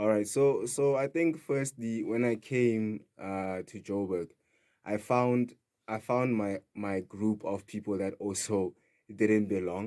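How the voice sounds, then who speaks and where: Speaking very slowly with a Sotho accent, a man has a fairly low, dark, mellow voice and ordinary pitch variation. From South Africa, Free State (Kroonstad). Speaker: DJ and house music producer. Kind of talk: radio interview. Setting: radio studio.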